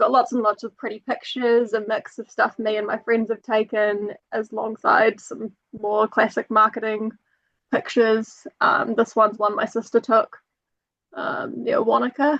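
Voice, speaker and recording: In a dry, close sound with no echo, a woman with a New Zealand accent speaks at a moderate pace in a fairly high pitch, with fairly even intonation and big swings in loudness. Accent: authentic New Zealand. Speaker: travel company marketing and hiking guide. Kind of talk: webinar presentation.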